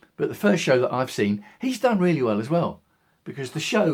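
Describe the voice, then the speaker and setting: The recording is very clean and the background silent. A man talks in an English accent. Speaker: video blogger. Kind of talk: casual monologue. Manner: fast.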